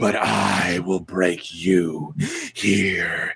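In a booming, raspy put-on character voice, a man speaks at a very slow pace with a very deep, low pitch. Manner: menacing, boastful.

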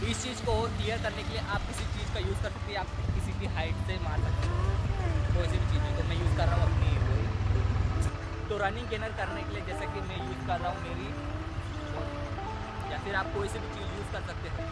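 A man at a fairly quick pace with long, frequent pauses, over loud background noise. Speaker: parkour athlete. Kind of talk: casual tutorial explanation to camera.

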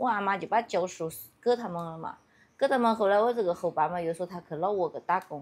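At a very fast pace, a woman speaks in a Yunnan accent with ordinary pitch variation. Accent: Yunnan dialect-accented Mandarin. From Yunnan, China. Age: 30s. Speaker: villager. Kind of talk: casual chat. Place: open country. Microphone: phone near.

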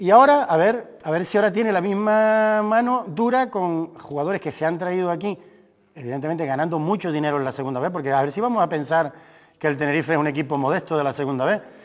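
The delivery is very fast with lively intonation. The background is quiet. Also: man, high pitch for a man. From Canary Islands. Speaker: sports doctor and football coach; football coach. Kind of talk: casual chat. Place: studio.

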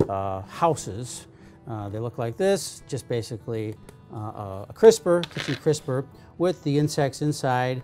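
A man talks with ordinary pitch variation over faint music in the background. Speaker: entomology professor. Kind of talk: tutorial. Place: workshop.

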